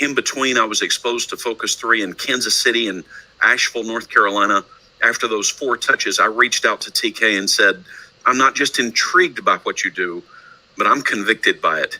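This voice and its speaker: Dry and close with no echo, a man's voice carries a slight Texan accent at a fairly quick pace. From Texas, Houston. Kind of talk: presentation.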